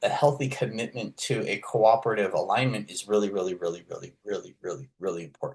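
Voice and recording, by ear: A man talks at a fairly quick pace. His tone is slightly mellow with a slightly husky edge.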